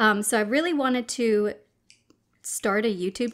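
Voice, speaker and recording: Against a quiet background, a woman speaks in a high voice with a relaxed tone. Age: 30s. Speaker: mukbang YouTuber; mukbang creator. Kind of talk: casual chat. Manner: relaxed with frequent fillers. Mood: relaxed, friendly.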